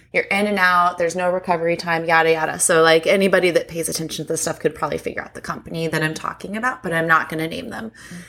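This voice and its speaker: Talking at a very fast pace with hardly any pauses, a woman with a fairly low pitch keeps her intonation fairly even while her loudness swings a lot. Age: 30s. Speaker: podcast co-host. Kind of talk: casual chat.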